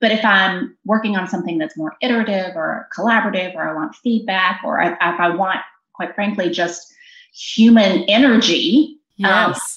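In an ordinary speaking voice, a woman with an American accent talks at a moderate pace, her medium pitch varying in an ordinary way. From US South, southwest Virginia (Bristol). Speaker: corporate HR executive. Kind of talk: interview.

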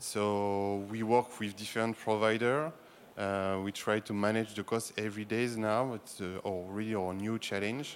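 A man with a French accent speaks at a moderate pace and a fairly low pitch. His intonation stays fairly even. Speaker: sports broadcasting executive. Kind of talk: panel discussion. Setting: stage with audience.

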